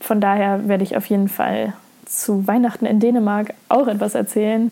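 A woman speaks at a fairly high pitch with fairly even intonation, with noticeable background noise around her. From Lower Saxony, Germany. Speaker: podcaster. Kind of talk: casual monologue.

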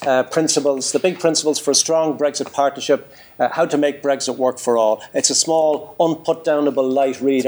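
Speaking with an Irish accent, a man talks at a fairly quick pace with hardly any pauses, a fairly high pitch, fairly even intonation, and very even loudness. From Ireland, Drogheda. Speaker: business leader. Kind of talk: conference talk.

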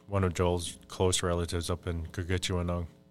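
A man with an American accent speaks at a moderate pace in a very deep, low pitch, on a very clean recording with a silent background. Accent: Upper Midwest Ojibwe English. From Minnesota, Fond du Lac reservation. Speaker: Ojibwe spiritual advisor and language worker. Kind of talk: casual interview conversation. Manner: halting, frequent fillers.

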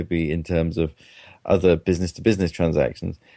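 A man with a British accent and a dark, mellow tone, in a dry, close sound with no echo against a quiet background. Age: 40s. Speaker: professor. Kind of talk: interview.

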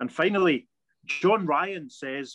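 With a west of Scotland accent, a man speaks at a fairly high pitch with lively intonation, the sound dry and close with no echo. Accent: Scottish (west of Scotland). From Scotland, Paisley. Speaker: podcast co-host. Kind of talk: casual chat.

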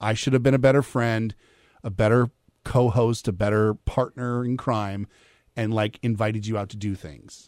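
On a very clean recording with a silent background and a dry, close sound with no echo, a man speaks in a normal speaking voice at medium pitch and a moderate pace. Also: fairly even intonation. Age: 40s. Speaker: radio co-host. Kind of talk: casual chat. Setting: studio.

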